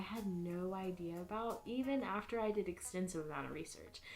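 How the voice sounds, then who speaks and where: Against noticeable background noise, a woman with an American accent talks at a fairly quick pace and medium pitch, with ordinary pitch variation. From US South, Atlanta, Georgia. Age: 20s. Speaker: embroidery hobbyist and student. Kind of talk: casual introductory vlog / tutorial. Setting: home craft room. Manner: casual, chatty.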